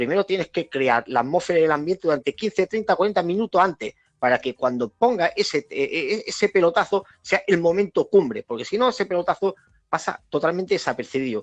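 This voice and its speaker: Close and dry with no echo, a man's high-pitched voice moves at a fairly quick pace with lively intonation. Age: 40s. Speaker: DJ and club programmer. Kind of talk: casual chat. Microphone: connection problems.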